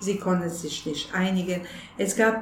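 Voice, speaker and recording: A woman with a fairly low pitch is heard amid audible room echo and noticeable background noise. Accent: Bosnian. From Bosnia, Sarajevo. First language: Bosnian (speaking German). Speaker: refugee aid organizer. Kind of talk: interview. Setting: office of aid organization.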